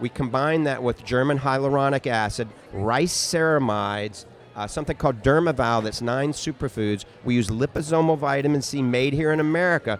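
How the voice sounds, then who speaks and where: Music in the background behind a man of medium pitch, talking at a fairly quick pace with ordinary pitch variation. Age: 60s. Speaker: optometrist and supplement maker. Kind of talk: interview conversation.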